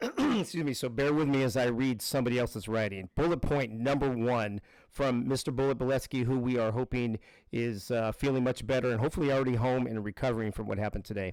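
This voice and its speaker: A man talks at a very fast pace with very even loudness. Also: medium pitch for a man, fairly even intonation, very clean recording, silent background. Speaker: live streamer, game show recap host. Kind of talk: casual live-stream chat with reading aloud. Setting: live stream.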